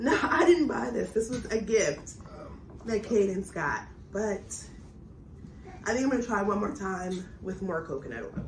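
Pausing long and often, a woman speaks with very wide pitch swings against noticeable background noise. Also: medium pitch for a woman, moderate pace. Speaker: family YouTuber making crafts with her child. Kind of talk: casual chat. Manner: animated.

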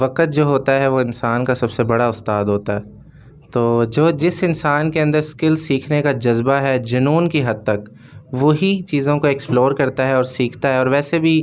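At a fairly slow pace, a man with an unremarkable speaking voice speaks at a medium pitch with ordinary pitch variation. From Pakistan. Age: 20s. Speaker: young businessman; guest. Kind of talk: studio interview. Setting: studio. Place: studio. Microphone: handheld.

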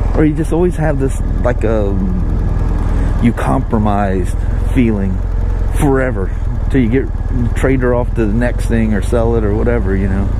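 The speech moves at a fairly slow pace, the sound dry with no echo, over noticeable background noise. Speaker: motorcycle dealer vlogger. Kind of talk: casual vlog chat. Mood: relaxed, self-deprecating. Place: motorbike.

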